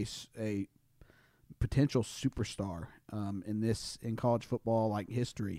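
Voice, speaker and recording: A man's medium-pitched voice, dark and mellow in tone, with fairly even intonation and a dry, close sound free of echo. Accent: Southern US. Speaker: podcast co-host.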